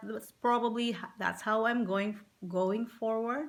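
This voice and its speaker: A woman speaks with a Visayan Filipino accent. Her pitch varies in an ordinary way. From Philippines. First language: Visayan (Cebuano). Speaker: physical therapist. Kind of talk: casual vlog introduction. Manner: halting, many fillers.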